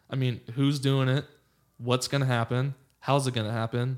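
Medium pitch and moderate pace from a man with an American accent. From Los Angeles, California. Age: 30s. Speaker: lawyer and former baseball player. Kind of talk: casual chat. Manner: animated.

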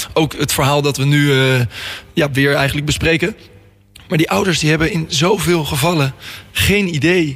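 Noticeable background noise sits behind a man whose pitch is fairly high. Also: ordinary pitch variation, moderate pace. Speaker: radio host. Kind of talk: radio interview. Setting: studio.

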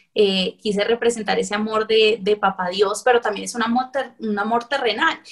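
A woman's fairly high voice with fairly even intonation and hardly any pauses, over noticeable background noise. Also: moderate pace. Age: 20s. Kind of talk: interview.

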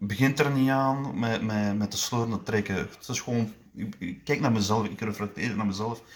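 This man speaks at a medium pitch and a moderate pace. His pitch varies in an ordinary way. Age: 20s. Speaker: powerlifter. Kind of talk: interview. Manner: halting.

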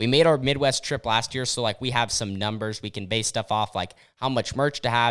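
On a very clean recording with a silent background, a man speaks at a fairly quick pace with hardly any pauses, at a medium pitch with ordinary variation. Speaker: podcast host and dirt track racer. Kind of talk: casual chat. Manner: loud.

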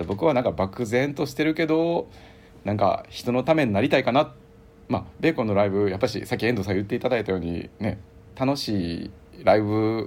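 The speaker uses a Kansai accent and a fairly quick pace. The intonation is lively. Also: man. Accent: Kansai Japanese. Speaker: rock band bassist. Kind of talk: casual interview chat. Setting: remote call.

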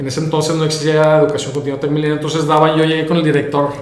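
With a northern Mexican accent, a man speaks very fast at a fairly high pitch, amid noticeable background noise and audible room echo. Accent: northern Mexican Spanish (Monterrey). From Mexico, Monterrey. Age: 30s. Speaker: entrepreneur. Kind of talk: interview conversation.

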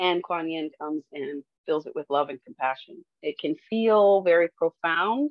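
A woman with an ordinary speaking voice talks at a fairly slow pace and a fairly low pitch, with ordinary pitch variation and hardly any pauses. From US, Detroit. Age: 50s. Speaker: reiki hairstylist and teacher. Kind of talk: casual interview.

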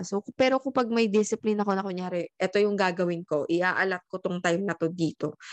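Against a quiet background, a woman with an unremarkable speaking voice talks fairly quickly at a medium pitch with ordinary pitch variation, in a dry, close sound with no echo. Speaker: podcast co-host. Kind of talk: casual chat. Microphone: new microphone.

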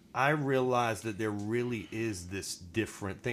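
In an American accent, an unremarkable speaking voice proceeds at a moderate speed with ordinary pitch variation. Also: man. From Virginia. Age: 30s. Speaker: guest. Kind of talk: casual interview chat.

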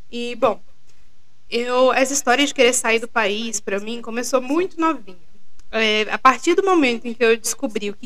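The voice moves at a moderate pace with ordinary pitch variation, carrying audible room echo and noticeable background noise. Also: woman. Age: 20s. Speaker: podcast co-host, PhD student. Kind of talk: casual chat.

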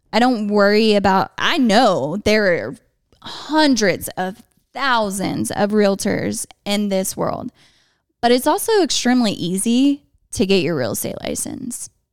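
At a fairly slow pace, a woman uses a normal speaking voice with fairly high pitch and lively intonation, on a very clean recording with a silent background. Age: 20s. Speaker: realtor, former teacher. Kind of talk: casual chat.

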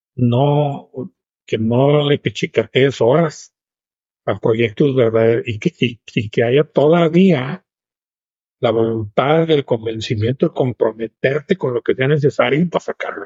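Very slow and somewhat breathy, the voice moves with ordinary pitch variation and long, frequent pauses. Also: man, medium pitch for a man. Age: 70s. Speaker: businessman. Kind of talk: interview.

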